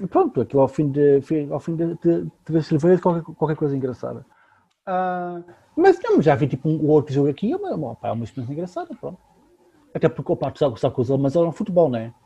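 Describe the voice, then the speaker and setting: At a fairly quick pace, a man speaks in a dark, mellow, somewhat breathy tone with ordinary pitch variation. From Lisbon, Portugal. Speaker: podcast co-host. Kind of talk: casual chat.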